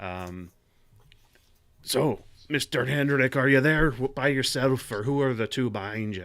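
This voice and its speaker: A man's raspy, put-on character voice at medium pitch, moderate pace and ordinary pitch variation, broken by long, frequent pauses, in a very clean recording with a silent background. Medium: actual play. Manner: formal, composed.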